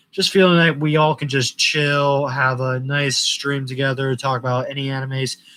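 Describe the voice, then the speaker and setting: Noticeable background noise surrounds a man's voice. He talks at a fairly high pitch with monotone, flat intonation. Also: moderate pace. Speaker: anime YouTuber. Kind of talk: casual live stream chat. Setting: live stream. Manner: halting, many fillers.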